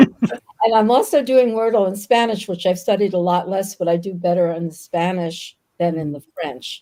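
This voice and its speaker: A woman speaks with an American accent and hardly any pauses. Her voice has a dark, mellow tone and ordinary pitch variation. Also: medium pitch for a woman, moderate pace. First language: Yiddish. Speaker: novelist. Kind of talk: interview on live videocast. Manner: hesitant, many fillers.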